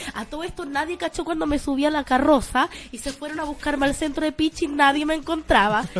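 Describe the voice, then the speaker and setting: Speaking very fast and with an animated tone, a woman with a Chilean accent uses a high pitch over noticeable background noise. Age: 20s. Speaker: radio show co-host. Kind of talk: casual chat. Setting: radio studio.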